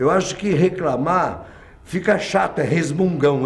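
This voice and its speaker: A man talks at a moderate pace with a high pitch. Noticeable background noise and audible room echo are present. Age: 60s. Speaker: visual artist. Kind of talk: documentary interview. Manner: halting, repeats words.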